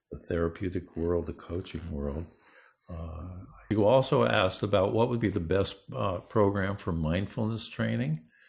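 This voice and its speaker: This man's pitch is very deep and low, with vocal fry. He speaks at a moderate pace with lively intonation. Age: 70s. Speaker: neuroscience researcher and coach. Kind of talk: interview.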